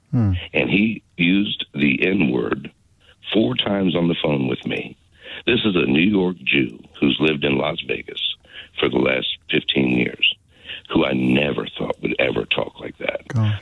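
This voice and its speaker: In an American accent, a man with a very deep, low voice speaks at a fairly slow pace with lively intonation over noticeable background noise. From United States. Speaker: busker, former salesman. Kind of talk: radio phone-in call. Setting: phone line.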